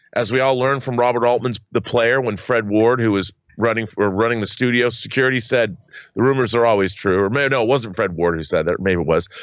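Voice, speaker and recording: Using a normal speaking voice, a man of medium pitch talks at a fairly quick pace. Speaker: co-host. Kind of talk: casual chat.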